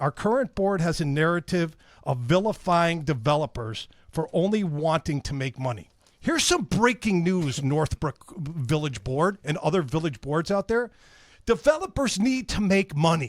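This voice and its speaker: Loud and lively in intonation, a man speaks at a high pitch with a dry, close sound and no echo. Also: moderate pace. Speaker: radio host. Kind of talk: casual chat.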